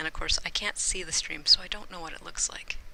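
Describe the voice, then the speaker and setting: Whispering at a fairly quick pace. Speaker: gaming streamer. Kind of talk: live game stream commentary.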